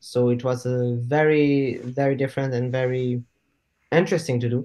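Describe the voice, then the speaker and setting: Moderate pace and monotone, flat intonation, in a French accent. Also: man. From southern France, small town. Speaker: actor and filmmaker. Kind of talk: casual interview chat. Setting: video call.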